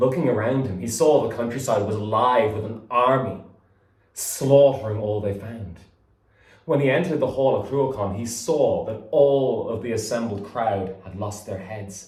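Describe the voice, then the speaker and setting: A man talks at a moderate pace in a medium pitch with ordinary pitch variation. His voice is somewhat breathy, with big swings in loudness. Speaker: storyteller. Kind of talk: folk tale storytelling.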